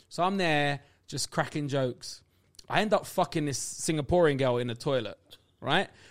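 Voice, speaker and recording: The recording is very clean, with a silent background. A man with a fairly high pitch speaks at a moderate pace with ordinary pitch variation. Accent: Cockney. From London. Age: 30s. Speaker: stand-up comedian. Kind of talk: casual chat.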